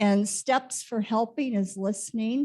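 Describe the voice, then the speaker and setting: A woman's fairly high, dark, mellow voice, somewhat breathy, with fairly even intonation at a very slow pace. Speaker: conference speaker, former nurse. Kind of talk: lecture.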